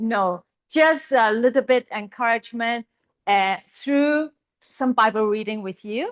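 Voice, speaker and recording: Here is a woman with a Chinese accent. Her pitch is fairly high, with ordinary variation. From Hong Kong. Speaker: Bible college teacher. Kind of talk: lecture. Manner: halting.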